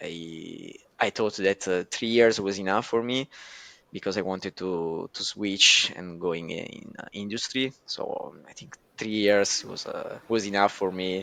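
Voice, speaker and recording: A man's fairly low voice with an Italian accent, bright and sharp in tone, fairly slow and fairly even in intonation, with big swings in loudness over a quiet background. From southern Italy, Naples. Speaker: data scientist. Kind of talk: podcast interview. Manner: hesitant, many fillers.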